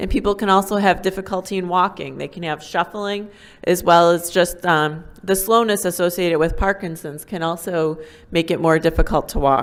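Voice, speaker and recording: At a moderate pace, a woman speaks in a fairly low-pitched voice with fairly even intonation. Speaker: neurologist. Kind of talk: medical lecture. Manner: hesitant, many ums.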